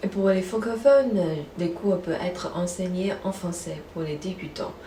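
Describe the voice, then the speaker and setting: A woman speaks at a fairly slow pace and a medium pitch, with ordinary pitch variation, audible room echo, and noticeable background noise. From China, Beijing. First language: Mandarin Chinese (speaking French). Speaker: language teacher. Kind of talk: promotional self-introduction. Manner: scripted, clear delivery.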